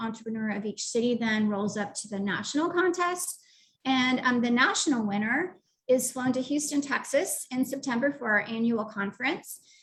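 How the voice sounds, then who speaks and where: Fairly high in pitch with ordinary pitch variation, a woman speaks at a moderate pace in an unremarkable speaking voice. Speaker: youth entrepreneurship program director. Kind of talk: presentation. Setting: live online webinar.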